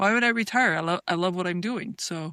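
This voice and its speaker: A woman speaks with ordinary pitch variation. The recording is very clean, with a silent background and a dry, close sound with no echo. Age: 60s. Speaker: physician and researcher. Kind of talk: podcast interview. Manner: halting, many fillers and repeats.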